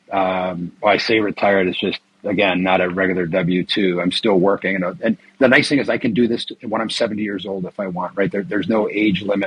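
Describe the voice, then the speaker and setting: A man speaks at a fairly quick pace with hardly any pauses, his pitch fairly low and his intonation fairly even. The sound is dry and close with no echo, and noticeable background noise runs underneath. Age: 50s. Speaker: retired IT worker and tax lien investor. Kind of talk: interview.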